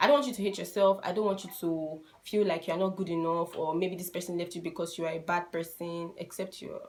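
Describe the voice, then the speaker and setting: Very fast speech in a Nigerian accent, with fairly even intonation and big swings in loudness. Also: woman. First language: a Nigerian language (not English). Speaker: YouTuber giving relationship advice. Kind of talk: casual vlog advice talk.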